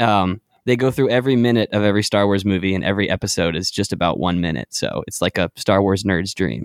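A man with an American accent talks very fast at a fairly low pitch, with ordinary pitch variation and hardly any pauses. His loudness stays very even, and the very clean recording sounds dry and close, with no echo and a silent background. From North Carolina, Charlotte. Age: 20s. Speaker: indie singer-songwriter. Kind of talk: casual chat.

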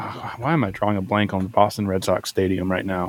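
An unremarkable speaking voice delivers its words at a moderate pace. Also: man. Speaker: musician, band frontman. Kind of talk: casual chat.

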